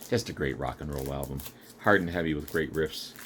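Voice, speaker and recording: With a Canadian accent and vocal fry, a man speaks with ordinary pitch variation. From Canada. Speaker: vinyl record collector YouTuber. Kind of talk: casual show-and-tell video. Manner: fast; hesitant with fillers.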